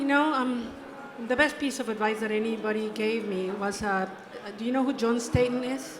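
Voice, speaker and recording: A woman with a fairly high pitch speaks at a moderate pace with ordinary pitch variation. Noticeable background noise and audible room echo fill the recording. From Mexico. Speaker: conservation photographer. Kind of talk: interview.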